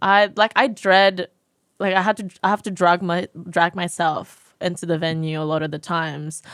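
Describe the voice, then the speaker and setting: With an American accent, a woman speaks at a moderate pace with a fairly low pitch and fairly even intonation, in a dry, close sound with no echo on a very clean recording against a silent background. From Indonesia. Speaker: singer-songwriter and producer. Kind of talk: podcast interview answer. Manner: casual, hesitant.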